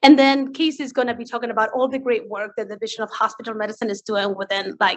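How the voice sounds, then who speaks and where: A woman speaks fairly quickly in an Argentinian accent. Her pitch is fairly high and her intonation fairly even. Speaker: physician presenting at grand rounds. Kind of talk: lecture.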